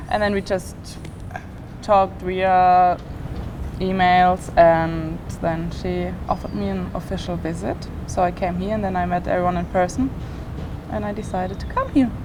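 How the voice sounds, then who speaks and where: With a German accent, a woman speaks at a moderate pace with long, frequent pauses, amid audible room echo and noticeable background noise. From Germany. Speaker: college gymnast. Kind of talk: casual chat.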